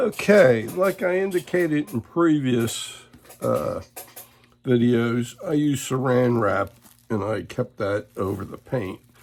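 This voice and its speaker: Lively intonation from a man at medium pitch and a fairly slow pace, with noticeable background noise. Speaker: woodcarving instructor. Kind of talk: tutorial. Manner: hesitant, many fillers.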